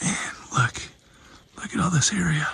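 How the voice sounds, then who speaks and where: Quiet and fairly high in pitch, a man speaks at a moderate pace with lively intonation over noticeable background noise. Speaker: paranormal YouTuber. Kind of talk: vlog narration outdoors. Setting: outdoors in woods at night. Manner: hushed, quiet.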